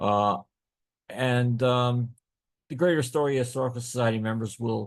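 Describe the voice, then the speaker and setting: A man speaking at a moderate pace with fairly even intonation. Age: 60s. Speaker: local historian and author. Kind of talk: lecture. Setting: video call. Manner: halting, many fillers.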